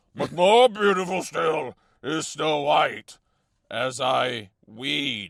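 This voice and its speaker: At a very slow pace, a man puts on a character voice with fairly high pitch. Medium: read story. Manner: formal, archaic.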